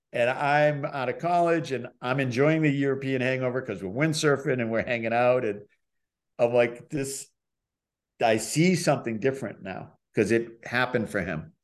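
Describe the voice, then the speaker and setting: Against a quiet background, a man with an American accent speaks at a moderate pace in an unremarkable speaking voice, medium in pitch with ordinary pitch variation. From Boston area, Massachusetts. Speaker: professional skier and filmmaker. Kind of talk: casual chat.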